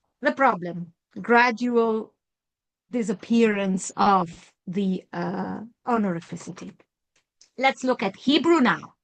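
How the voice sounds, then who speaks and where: With an Italian accent, a woman speaks at a very slow pace and a medium pitch, using lively intonation and long, frequent pauses. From Italy. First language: Italo-Romance language of Italy. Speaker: professor. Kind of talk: lecture.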